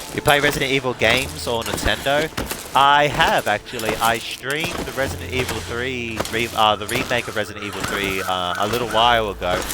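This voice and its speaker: A man talks at a fairly quick pace and medium pitch with ordinary pitch variation, over noticeable background noise. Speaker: gaming streamer. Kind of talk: live gameplay commentary. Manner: halting, many repetitions.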